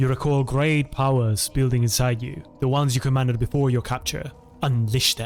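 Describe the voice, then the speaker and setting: A man keeps his intonation fairly even while music plays in the background. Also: medium pitch for a man, moderate pace. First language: not English. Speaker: streamer. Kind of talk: game playthrough commentary and reading aloud.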